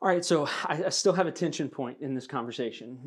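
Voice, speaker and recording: A man talks at a moderate pace with ordinary pitch variation and an ordinary speaking voice. The recording is very clean, with a silent background. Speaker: seminary administrator and student, podcast host.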